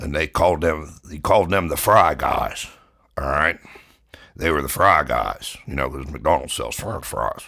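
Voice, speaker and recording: A man puts on a character voice that is raspy and very deep, low. He speaks at a moderate pace with big swings in loudness. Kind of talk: comedic tall-tale monologue. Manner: casual, rambling.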